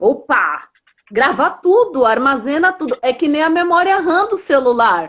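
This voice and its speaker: A woman talks at a fairly slow pace in a high pitch, with very wide pitch swings. Her loudness stays very even. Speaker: emotional health speaker. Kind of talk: conversational talk with teaching.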